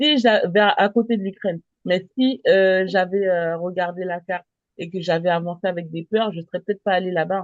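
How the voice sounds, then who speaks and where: At a moderate pace, a woman speaks in a normal speaking voice with a medium pitch and ordinary pitch variation. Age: 30s. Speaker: travel business presenter. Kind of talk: sales pitch.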